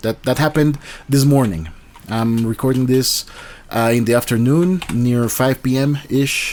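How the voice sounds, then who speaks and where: A man's medium-pitched voice with lively intonation at a fairly slow pace, on a very clean recording with a silent background. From Colombia. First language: Spanish. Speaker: YouTuber commentator. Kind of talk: casual commentary monologue. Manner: halting, many fillers and restarts.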